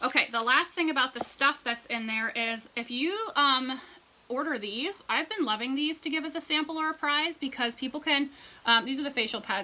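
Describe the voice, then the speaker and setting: A woman talks in a raised, projected voice at a high pitch. Noticeable background noise runs behind her. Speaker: direct sales team leader. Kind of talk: livestream tutorial. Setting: live video stream. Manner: fast; animated.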